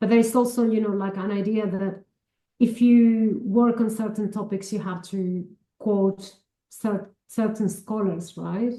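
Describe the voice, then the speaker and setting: A woman with a Spanish accent speaks in a dark, mellow tone, somewhat breathy and with monotone, flat intonation. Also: fairly high pitch for a woman. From Argentina, Chubut province (Patagonia). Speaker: academic, cultural studies scholar. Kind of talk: interview conversation.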